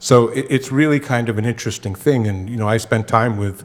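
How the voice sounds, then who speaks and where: Using an ordinary speaking voice, a man speaks at a moderate pace with fairly even intonation. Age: 60s. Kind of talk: panel Q&A discussion. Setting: church screening with audience.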